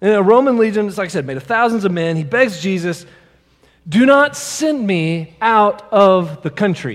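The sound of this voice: This is an unforced reading voice. It is used throughout the clip.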